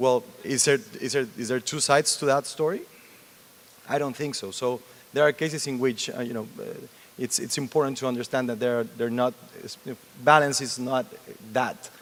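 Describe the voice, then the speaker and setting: A man's medium-pitched voice with a Mexican accent, fairly even intonation, a moderate pace and long, frequent pauses. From Mexico. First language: Spanish. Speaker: TV news anchor. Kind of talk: panel interview.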